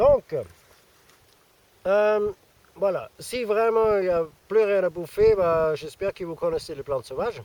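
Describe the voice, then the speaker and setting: The sound is dry and close, with no echo. A man with a high pitch speaks at a fairly slow pace, leaving long, frequent pauses. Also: ordinary pitch variation. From Austria. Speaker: survivalism youtuber. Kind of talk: casual vlog. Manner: hesitant, many fillers.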